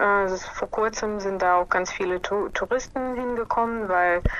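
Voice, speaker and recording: A woman talks with a fairly high pitch that varies in an ordinary way. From Ukraine, Kyiv. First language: Russian and Ukrainian (speaking German). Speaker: scientist. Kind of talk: interview. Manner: hesitant, many fillers. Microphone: smartphone line with interference noise.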